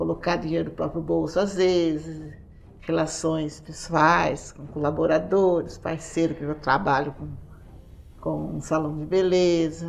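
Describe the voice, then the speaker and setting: A woman's very deep, low voice, monotone and flat, at a fairly slow pace with big swings in loudness and audible room echo. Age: 60s. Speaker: beauty salon owner, show participant. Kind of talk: casual interview answer.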